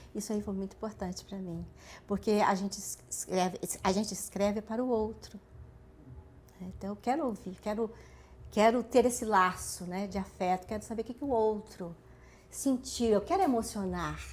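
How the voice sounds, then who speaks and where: A somewhat breathy woman of medium pitch with a Minas Gerais accent, at a moderate pace, with fairly even intonation, big swings in loudness and long, frequent pauses. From Brazil, Minas Gerais. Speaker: writer. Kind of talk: interview.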